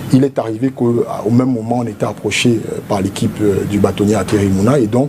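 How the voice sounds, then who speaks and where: Against noticeable background noise, a man with a medium pitch talks at a fairly quick pace. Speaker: politician, presidential candidate. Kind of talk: TV interview. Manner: formal.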